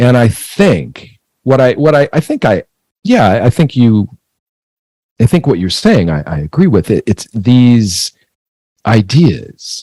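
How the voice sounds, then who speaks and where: A man with an American accent and a dark, mellow tone speaks at medium pitch and a very slow pace, with very wide pitch swings and long, frequent pauses, in a dry, close sound with no echo. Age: 60s. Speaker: screenwriter and author. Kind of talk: interview conversation. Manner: halting, repetitive.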